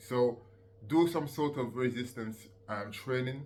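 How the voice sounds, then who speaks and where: The recording has audible room echo. A man speaks at a medium pitch with fairly even intonation. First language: not English. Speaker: fitness coach and youtuber. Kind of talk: casual tutorial monologue. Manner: hesitant, many fillers.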